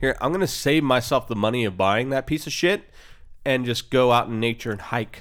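At a fairly quick pace, a man uses a normal speaking voice with a medium pitch and ordinary pitch variation. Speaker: podcast host. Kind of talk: casual profane banter about politics.

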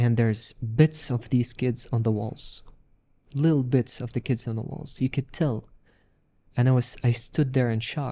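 With an Arabic accent, a man talks at a fairly slow pace in a medium-pitched, somewhat breathy voice with a dark, mellow tone and fairly even intonation, the sound dry and close with no echo. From Palestinian, raised in a refugee camp in Syria. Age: 40s. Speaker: refugee sharing his story, peace NGO worker. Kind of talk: interview testimony.

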